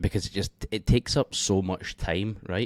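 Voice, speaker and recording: A man with a Scottish accent speaks quietly at a fairly low pitch, in a very clean recording with a silent background and a dry, close sound without echo. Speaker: forex trading educator. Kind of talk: tutorial. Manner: quiet, keeping voice down. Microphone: mic held close.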